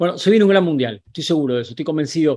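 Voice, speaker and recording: The pitch variation is ordinary and the background is quiet. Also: man. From Argentina. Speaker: sports journalist. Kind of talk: video commentary to camera; commentary. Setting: on location in Qatar. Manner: animated.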